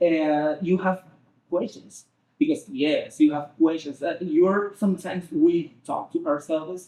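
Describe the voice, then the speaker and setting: With a Spanish accent, a man speaks at a fairly slow pace in a high voice. His tone is dark and mellow, and his intonation fairly even. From Venezuela. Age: young. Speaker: Spanish teacher and translator. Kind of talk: interview answer.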